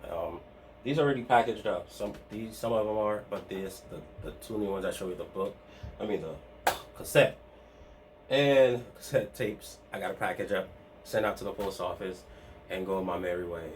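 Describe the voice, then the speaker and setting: Fairly quick speech from a man with long, frequent pauses and music in the background. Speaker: part-time online reseller and video host. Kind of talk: casual vlog talk to camera. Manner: fast; halting, many restarts and fillers.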